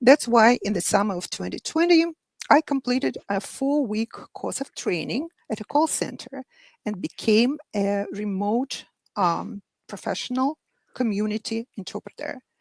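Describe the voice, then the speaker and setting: A woman's fairly high voice in a Russian accent, moderate in pace, with lively intonation, big swings in loudness, and a dry, close sound with no echo. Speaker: medical interpreter. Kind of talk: panel discussion. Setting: live online show.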